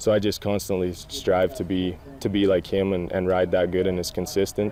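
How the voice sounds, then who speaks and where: In a western Canadian accent, a man speaks at a moderate pace with a very deep, low pitch, a dark, mellow tone and monotone, flat intonation. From Alberta, Canada. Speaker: professional bull rider. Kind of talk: interview.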